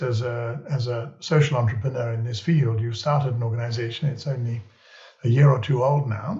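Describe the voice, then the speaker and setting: A man talks at a moderate pace and a medium pitch, with ordinary pitch variation. His voice is somewhat breathy. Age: 70s. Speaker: podcast host. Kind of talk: interview conversation.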